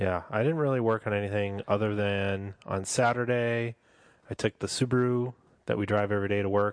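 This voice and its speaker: A normal speaking voice from a man at fairly low pitch and moderate pace, fairly even in intonation, dry and close with no echo over a quiet background. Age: 30s. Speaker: car podcast host. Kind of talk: casual chat. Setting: home studio.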